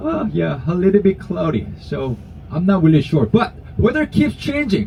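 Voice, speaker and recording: A man speaks with a Korean accent at a moderate pace. Noticeable background noise is present. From South Korea. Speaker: tour guide. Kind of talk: guided tour talk. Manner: halting.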